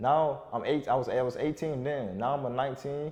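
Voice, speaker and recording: With a South Florida accent, a man speaks at a medium pitch and a fairly quick pace. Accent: South Florida urban American English. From South Florida, Broward County. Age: 20s. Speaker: online fitness coach. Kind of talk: motivational monologue. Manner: casual, repetitive with self-corrections.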